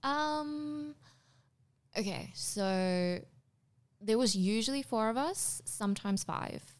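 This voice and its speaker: On a very clean recording with a silent background, a woman with a fairly high pitch speaks very slowly, her pitch swinging very widely between long, frequent pauses. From South Africa (Durban, then Pretoria from 14). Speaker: actress. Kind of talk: casual interview chat.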